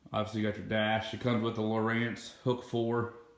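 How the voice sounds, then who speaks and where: Noticeable background noise and audible room echo surround a man speaking in a medium pitch with monotone, flat intonation. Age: 30s. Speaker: boat owner, fishing vlogger. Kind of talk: casual video tour. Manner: casual, hesitant with fillers.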